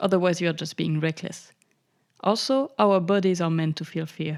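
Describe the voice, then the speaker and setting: A woman's fairly low-pitched voice with a French accent, moderate pace and ordinary pitch variation, in a very clean recording with a silent background. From France. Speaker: podcast host. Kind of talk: podcast monologue. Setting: home recording.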